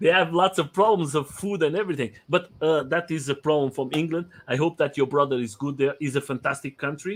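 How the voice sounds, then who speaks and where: A man talks at a fairly quick pace with a non-native accent and hardly any pauses. His pitch is fairly high, with ordinary variation. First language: not English. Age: 40s. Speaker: live stream host, interviewer. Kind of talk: casual interview chat. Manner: halting, many fillers and repeats.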